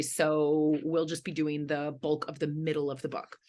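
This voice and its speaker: Against a quiet background, a woman with a Philadelphia accent speaks at a moderate pace and a fairly low pitch. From Philadelphia, US. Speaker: history professor. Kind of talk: online lecture.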